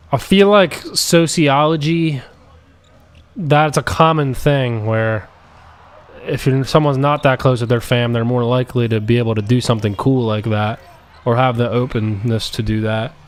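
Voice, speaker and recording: Over noticeable background noise, a man with an American accent talks at medium pitch with ordinary pitch variation. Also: moderate pace. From US. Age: 20s. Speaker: gaming streamer. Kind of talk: casual chat. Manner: rambling, halting.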